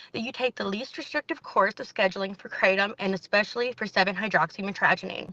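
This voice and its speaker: The sound is dry and close, with no echo. Pitch varies in an ordinary way. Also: woman. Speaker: public hearing testifier. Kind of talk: testimony. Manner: hard to understand.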